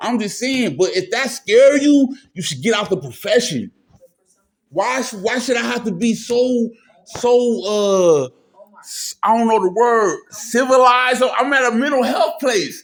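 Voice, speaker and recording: A man speaks at an extremely high pitch. His pitch variation is ordinary. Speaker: mental health patient filming a confrontation. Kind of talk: heated argument. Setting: mental health clinic office. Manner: loud; agitated, fast.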